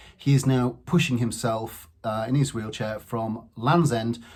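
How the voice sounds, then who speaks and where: Somewhat breathy speech at a fairly slow pace, with ordinary pitch variation. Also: man. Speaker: channel host introducing the videos. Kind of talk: channel intro to camera.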